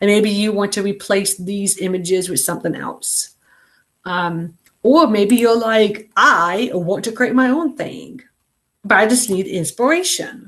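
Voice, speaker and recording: Using a normal speaking voice, a woman with a medium pitch talks at a fairly slow pace with lively intonation. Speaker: online class instructor. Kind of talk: live video class tutorial. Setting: video call meeting. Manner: casual, many fillers.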